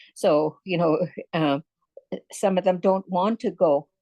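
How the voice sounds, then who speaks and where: A woman speaks at a very slow pace in a fairly low pitch with ordinary pitch variation. Her tone is dark and mellow, and the sound is dry and close with no echo. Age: 70s. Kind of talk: panel answer. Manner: halting, many fillers.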